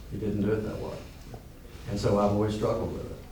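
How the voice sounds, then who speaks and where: Very fast talking, noticeable background noise and audible room echo. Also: man. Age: 60s. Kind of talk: group discussion. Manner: halting, with many restarts; animated.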